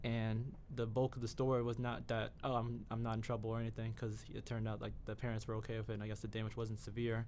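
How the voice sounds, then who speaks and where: A man's medium-pitched voice, very fast and monotone with flat intonation. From New York (the Bronx). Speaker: university student, journalism major. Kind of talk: interview conversation.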